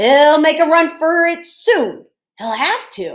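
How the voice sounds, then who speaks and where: An extremely high-pitched woman's put-on character voice, raised and projected, fairly slow, with very wide pitch swings. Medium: read story. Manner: gruff and bossy.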